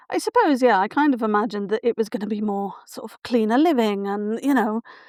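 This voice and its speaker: A woman in a Welsh accent talks at a very fast pace with a fairly high pitch and ordinary pitch variation. Her loudness swings widely, and the sound is dry and close with no echo. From South Wales, Barry. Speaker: writer and writing mentor. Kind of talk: interview conversation.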